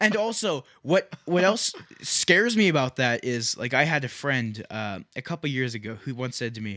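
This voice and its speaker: Loud and animated, the voice swings very widely in pitch with a bright, sharp tone, moving at a moderate pace in a dry, close sound with no echo. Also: man, medium pitch for a man. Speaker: podcast co-host. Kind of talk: casual chat.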